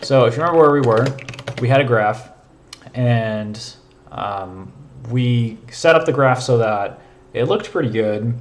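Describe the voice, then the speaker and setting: Over noticeable background noise and audible room echo, a man with a medium pitch and ordinary pitch variation speaks at a fairly slow pace with long, frequent pauses. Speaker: programming streamer. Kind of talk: live coding stream. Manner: casual, filler-heavy.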